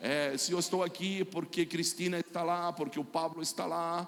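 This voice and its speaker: A man's high voice in a Chilean accent, moderate in pace, with fairly even intonation. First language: Spanish (speaking Portuguese). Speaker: pastor and prophet. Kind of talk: sermon.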